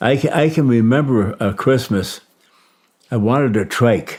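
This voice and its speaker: Speaking in a Midwestern US accent, a man has a dark, mellow tone and ordinary pitch variation. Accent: US Midwest. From Michigan, US Midwest. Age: 90s. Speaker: war veteran. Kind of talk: interview testimony. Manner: halting.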